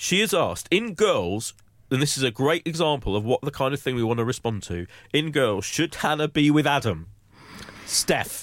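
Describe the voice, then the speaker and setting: At a moderate pace, a man with a fairly high voice and vocal fry swings his pitch very widely. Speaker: magazine entertainment director and podcast host. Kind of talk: casual chat. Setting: studio.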